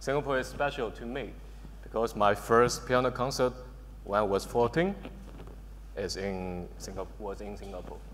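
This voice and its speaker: A man speaks with a Chinese accent. His pace is moderate. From China, Shanghai. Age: 20s. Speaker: electronic music producer and DJ. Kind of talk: panel discussion.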